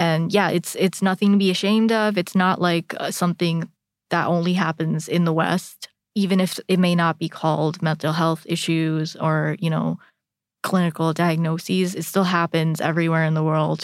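A woman speaks with an American accent at a fairly low pitch. Her intonation is monotone and flat. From India, Indonesia and the US. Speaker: psychology PhD researcher. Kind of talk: casual chat.

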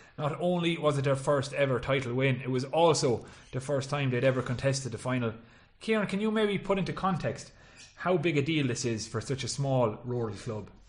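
The speaker has a West Cork accent and a somewhat breathy voice. The pitch moves in an ordinary way. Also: man, fairly high pitch for a man, fairly quick pace. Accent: West Cork Irish. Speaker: podcast host and sports journalist. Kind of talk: casual sports chat.

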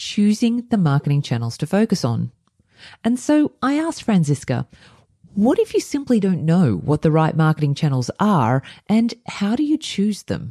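Dark and mellow in tone and somewhat breathy, this Australian-accented voice moves at a moderate pace through very wide pitch swings, captured dry and close with no echo over a quiet background. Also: woman. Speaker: podcast host. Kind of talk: interview intro and conversation.

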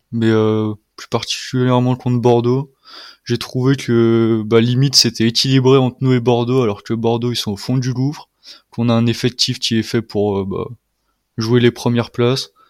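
A man talks at a moderate pace and medium pitch in a flat, monotone delivery. The recording is very clean, with a silent background. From France, Lyon region. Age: 20s. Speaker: football fan. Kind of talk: casual chat.

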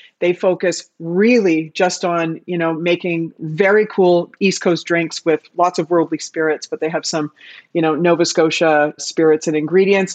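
A woman in a plain, everyday voice with a Canadian accent, fairly low in pitch, with fairly even intonation and hardly any pauses, in a dry, close sound with no echo. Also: moderate pace. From Canada. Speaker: bar industry expert. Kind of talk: casual interview chat.

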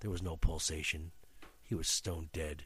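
Somewhat breathy delivery at a fairly quick pace. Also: man. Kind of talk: dramatic narration of a classic horror story read aloud. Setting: studio podcast.

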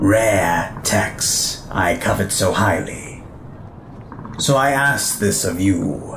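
A man performs a put-on character voice. Clear background noise runs underneath. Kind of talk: audio drama acting. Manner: vain, urbane, menacing.

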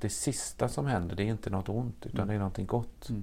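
This man has a fairly low pitch and a dark, mellow tone. Vocal fry runs through his voice. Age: 60s. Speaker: priest. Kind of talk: casual chat.

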